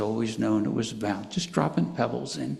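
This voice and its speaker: A man talks at a fairly slow pace with lively intonation, and room echo is audible. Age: 80s+. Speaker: pastor. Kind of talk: sermon.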